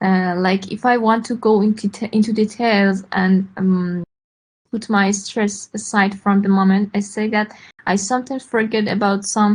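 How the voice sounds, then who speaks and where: The delivery is somewhat breathy, at a moderate pace. The intonation stays monotone and flat. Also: woman, medium pitch for a woman. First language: not English. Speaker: English learner. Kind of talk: question in online class. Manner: halting.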